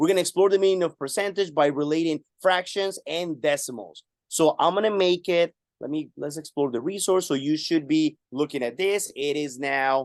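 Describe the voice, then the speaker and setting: Recorded with a dry, close sound and no echo, a man speaks in a Spanish accent at a fairly high pitch. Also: ordinary pitch variation, moderate pace. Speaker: math teacher and webinar presenter. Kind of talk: webinar tutorial. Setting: live online webinar.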